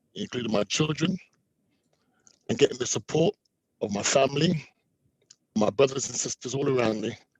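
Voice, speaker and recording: A man talks at a fairly quick pace in a medium pitch, somewhat breathy, with lively intonation. He leaves long, frequent pauses, and the sound is dry and close with no echo. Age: 50s. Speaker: prostate cancer survivor. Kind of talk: testimony.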